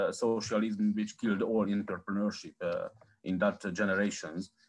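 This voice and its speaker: Using lively intonation, a man talks with a Hungarian accent. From Hungary. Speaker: researcher, panel moderator; panel moderator. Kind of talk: moderating online panel. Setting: video call. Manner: halting. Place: home room. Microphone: video call.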